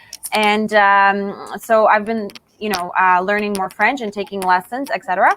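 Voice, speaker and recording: A woman at medium pitch, fairly even intonation and a moderate pace, a plain, everyday voice. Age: 30s. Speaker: politician. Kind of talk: interview.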